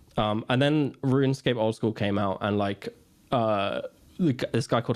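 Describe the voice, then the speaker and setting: An unremarkable speaking voice from a man, medium-pitched and fairly even in intonation, at a moderate pace against a quiet background. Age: 20s. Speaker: gaming streamer and content creator. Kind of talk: casual chat.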